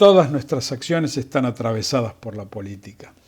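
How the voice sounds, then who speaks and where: A man at a medium pitch and a fairly slow pace, an unremarkable speaking voice. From Argentina, Buenos Aires province. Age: 60s. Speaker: physician telling family history. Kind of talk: scripted narration. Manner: formal.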